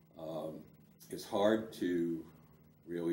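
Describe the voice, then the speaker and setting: A man speaks at a very deep, low pitch with fairly even intonation. Audible room echo and noticeable background noise fill the recording. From US Northeast, Providence, Rhode Island. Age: 70s. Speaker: lawyer and civil rights veteran. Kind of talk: oral history interview. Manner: hesitant, many fillers.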